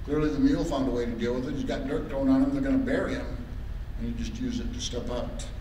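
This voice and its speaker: Speaking at a very fast pace, a man is heard with audible room echo and light background noise. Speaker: lay minister. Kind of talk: sermon. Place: church. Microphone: podium.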